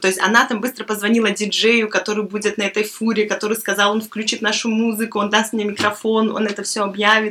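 There is noticeable background noise as a woman speaks at a fairly quick pace. Her pitch is fairly high. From Belarus. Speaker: guest. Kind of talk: casual chat.

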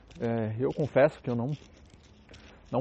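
Moving at a moderate pace, a man speaks at a medium pitch. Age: 30s. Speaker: podcaster. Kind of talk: casual monologue. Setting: outdoors, walking on the street. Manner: casual, colloquial.

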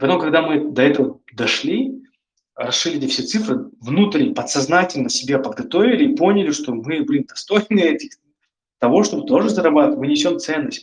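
A man speaks high in pitch, his voice making very wide pitch swings. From northern Kazakhstan. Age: 20s. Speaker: startup founder. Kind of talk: interview talk, expert Q&A. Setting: online call. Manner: conversational, many fillers.

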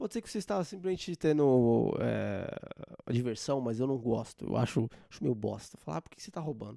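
A man's animated voice at a fairly quick clip, with big swings in loudness. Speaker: podcast host. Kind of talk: casual comedic monologue.

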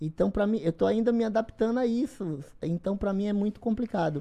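A woman of medium pitch speaks at a fairly quick pace with lively intonation. Her tone is dark and mellow. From Bahia, Brazil (interior, Esplanada). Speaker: bodybuilder. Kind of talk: podcast interview.

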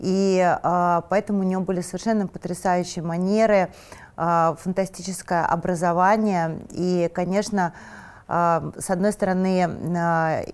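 Her medium-pitched delivery comes at a fairly slow pace with monotone, flat intonation, and the recording is very clean with a silent background. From Moscow, Russia. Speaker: fashion designer and stylist. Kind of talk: interview.

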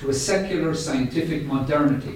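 A man speaks with ordinary pitch variation. Noticeable background noise runs under his voice. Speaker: UN resident coordinator giving introduction. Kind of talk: welcome speech. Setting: live event at UN House.

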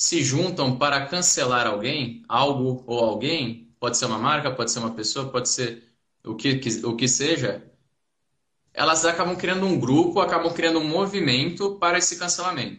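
In a bright, sharp tone, a man with a fairly high pitch speaks at a moderate pace with lively intonation. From Santos, São Paulo state, Brazil. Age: 20s. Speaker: debate participant. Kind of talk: online live debate.

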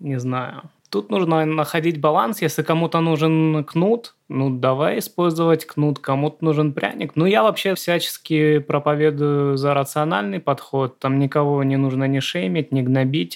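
In an ordinary speaking voice, the speaker goes at a fairly slow pace with hardly any pauses, ordinary pitch variation and very even loudness, on a very clean recording with a silent background. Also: man. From Southern Russia. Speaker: screenwriter, podcast co-host. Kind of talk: casual chat.

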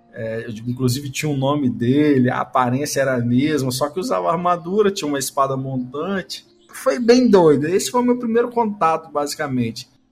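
Over noticeable background noise, a man talks at a fairly quick pace. His fairly high voice makes very wide pitch swings. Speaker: podcast host. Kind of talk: casual chat.

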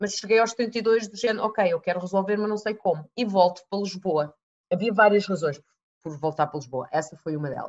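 A woman with a plain, everyday voice at a medium pitch, with ordinary pitch variation, a fairly quick pace, and big swings in loudness. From Canada, then Portugal from age 12. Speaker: neuro-linguistic programming trainer. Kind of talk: interview.

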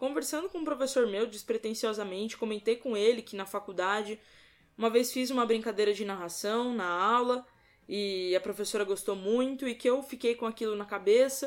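On a very clean, silent recording, a woman with an ordinary speaking voice talks at a moderate pace, medium in pitch with ordinary variation. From Brazil, São Paulo state. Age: 20s. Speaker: sports commentator. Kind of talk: podcast interview.

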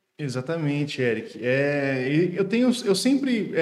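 Audible room echo surrounds a man's voice. He talks in a fairly high pitch at a fairly slow pace. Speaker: podcast host and engineer. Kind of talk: casual interview.

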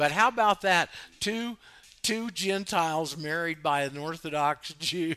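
A man speaks at a high pitch in a bright, sharp tone. His pace is fairly slow and his intonation lively. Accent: American. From US South, Florida panhandle. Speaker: radio host. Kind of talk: call-in talk radio. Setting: online radio studio, Skype calls.

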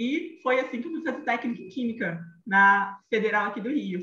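A woman with a Rio de Janeiro accent, bright and sharp in tone, with lively intonation and audible room echo. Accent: carioca (Rio). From Rio de Janeiro, Brazil. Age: 30s. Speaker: image consultant. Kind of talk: podcast interview, telling her career story. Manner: animated.

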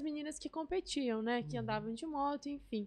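The recording has a quiet background. A woman talks with lively intonation. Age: 20s. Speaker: motorcycle racer. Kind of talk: interview.

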